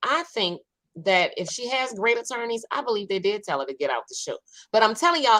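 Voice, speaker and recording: In a New Orleans accent, a woman uses a raised, projected voice with a bright, sharp tone, very wide pitch swings and a fairly quick pace. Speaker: online talk show host. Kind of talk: casual chat.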